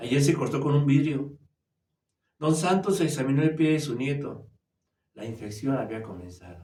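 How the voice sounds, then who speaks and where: Amid audible room echo, a man with a fairly high, somewhat breathy voice and a dark, mellow tone speaks at a moderate pace with lively intonation, big swings in loudness, and long, frequent pauses. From Mexico City, Mexico. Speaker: storyteller. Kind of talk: reading aloud. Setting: virtual writers' fair.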